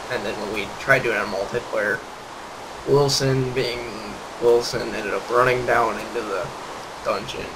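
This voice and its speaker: A man speaks at a moderate pace with long, frequent pauses, amid noticeable background noise and audible room echo. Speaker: gaming youtuber. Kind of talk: gameplay commentary. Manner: monotone; hesitant, many fillers.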